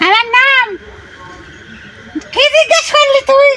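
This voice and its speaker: An extremely high-pitched put-on character voice over light background noise. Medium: game stream. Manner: defiant, taunting.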